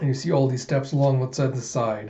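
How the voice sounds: Speaking at a fairly quick pace, a man with a medium pitch and a dark, mellow tone shows ordinary pitch variation.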